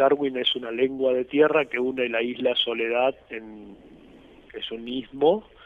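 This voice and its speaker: At a very slow pace, a man talks with a medium pitch and fairly even intonation. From Argentina, Corrientes. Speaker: retired army officer, war veteran. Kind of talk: interview testimony.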